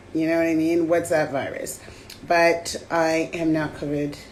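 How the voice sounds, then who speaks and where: A woman with a fairly low-pitched voice speaks amid audible room echo. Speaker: podcast co-host. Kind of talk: casual chat. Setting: live stream video call.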